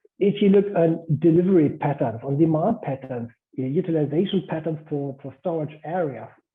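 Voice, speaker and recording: With a German accent, a man speaks at a moderate pace in a fairly high pitch with ordinary pitch variation. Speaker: guest speaker. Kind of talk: lecture. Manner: halting.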